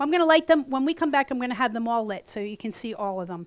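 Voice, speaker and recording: On a very clean recording with a silent background, a woman talks very fast in a fairly high voice. Her tone is animated and her intonation lively. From US East Coast. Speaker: gourd artist and teacher. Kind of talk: tutorial. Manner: loud.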